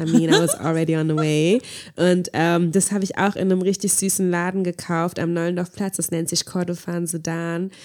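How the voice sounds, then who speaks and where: A woman's fairly low voice at a moderate pace. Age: 20s. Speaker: podcast co-host. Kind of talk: casual chat. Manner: animated.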